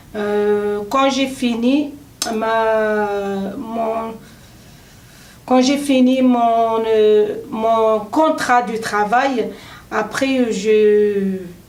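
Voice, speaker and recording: Amid noticeable background noise and audible room echo, a woman with fairly high pitch speaks very slowly, with fairly even intonation and long, frequent pauses. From Tunisia. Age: 30s. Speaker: adult French language trainee. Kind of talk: self-introduction speaking exercise. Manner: halting with many hesitations.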